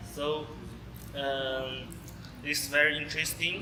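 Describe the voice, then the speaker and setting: A man's fairly high, monotone, flat voice with a non-native accent at a fairly slow pace, with music in the background and audible room echo. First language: not English. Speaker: university student. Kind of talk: group discussion. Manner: halting.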